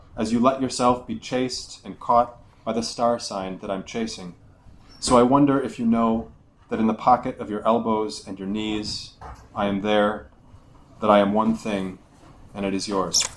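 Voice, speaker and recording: A man with a Buffalo accent speaks at a moderate pace with fairly even intonation, leaving long, frequent pauses. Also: medium pitch for a man. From Buffalo, New York. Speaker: poet. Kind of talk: poetry reading. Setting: live reading at a bar.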